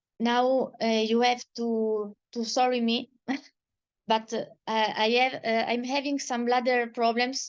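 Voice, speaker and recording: Speaking very slowly with a fairly high pitch, a woman with an Italian accent leaves long, frequent pauses. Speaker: patient advocate. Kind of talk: testimony. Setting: video call. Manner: halting.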